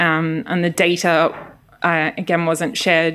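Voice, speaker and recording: A woman's fairly low voice in a strong Australian accent, fairly slow in pace, on a very clean recording with a silent background. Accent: thick Australian accent (on her Greek). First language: Greek. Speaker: social science researcher. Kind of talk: lecture.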